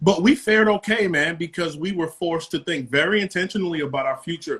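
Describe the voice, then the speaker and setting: A man speaks in a New York accent with fairly even intonation. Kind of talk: casual interview.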